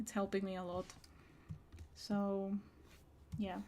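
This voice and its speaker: A woman at medium pitch with monotone, flat intonation, on a very clean recording with a silent background. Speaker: digital artist. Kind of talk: casual live-stream talk while drawing.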